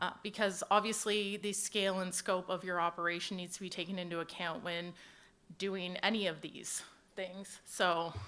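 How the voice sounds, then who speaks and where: A woman with a bright, sharp tone talks at a moderate pace in a monotone, flat intonation, with big swings in loudness. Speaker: HR manager at equipment dealer. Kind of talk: panel presentation. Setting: conference stage with audience. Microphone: handheld mic held low, close.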